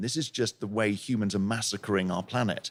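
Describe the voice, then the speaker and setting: A man talks at a fairly quick pace. He has a southern English accent. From England, Plymouth. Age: 60s. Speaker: intensive care doctor and professor. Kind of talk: podcast interview.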